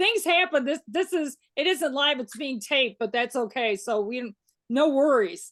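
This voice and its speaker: A woman in a Chicago accent speaks at a high pitch and a fairly slow pace with lively intonation, over a quiet background. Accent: Chicago accent, still noticeable. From Chicago, US Midwest. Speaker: interview show host. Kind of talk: casual interview.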